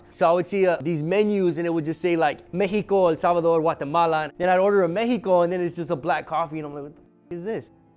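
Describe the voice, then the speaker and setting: Music plays behind a man with an American accent who talks very fast with hardly any pauses, his pitch high and his intonation fairly even. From Echo Park, Los Angeles. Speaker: coffee shop owner. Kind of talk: interview answer. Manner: casual.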